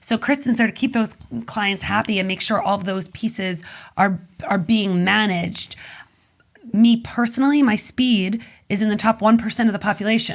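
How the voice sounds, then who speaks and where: A woman speaks at a fairly high pitch, somewhat breathy. Her pitch varies in an ordinary way. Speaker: magazine publisher and business consultant. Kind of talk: podcast interview. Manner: fast.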